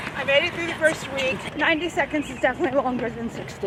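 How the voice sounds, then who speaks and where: A woman's pitch varies in an ordinary way as noticeable background noise plays behind her. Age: 60s. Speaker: beginner runner in a couch-to-5K program. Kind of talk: documentary interview.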